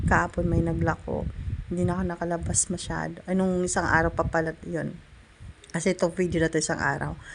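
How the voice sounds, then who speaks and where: A woman speaks at a fairly quick pace, and noticeable background noise can be heard. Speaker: cooking vlogger. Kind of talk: casual cooking vlog voice-over. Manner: chatty, with frequent fillers.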